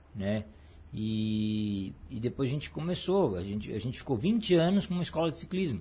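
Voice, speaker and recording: At a moderate pace, a man of medium pitch speaks somewhat breathily, his pitch swinging very widely. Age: 40s. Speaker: cycling coach and former athlete. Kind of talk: casual interview. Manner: halting, many repetitions.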